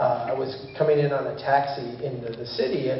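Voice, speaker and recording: A man's fairly high voice with fairly even intonation, audible room echo and noticeable background noise. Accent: American. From Minnesota (Brainerd). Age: 50s. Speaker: engineer and urban planner, speaker. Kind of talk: public talk. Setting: church hall with audience. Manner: casual, with many filler words.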